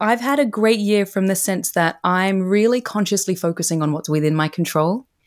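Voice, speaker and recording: A woman speaks at a moderate pace in a plain, everyday voice, medium in pitch with ordinary variation, on a very clean recording with a silent background. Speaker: career coach and author. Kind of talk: casual interview chat.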